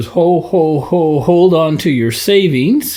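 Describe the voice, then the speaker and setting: Amid light background noise, a man in a put-on character voice speaks fairly slowly at a high pitch with lively intonation. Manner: jolly.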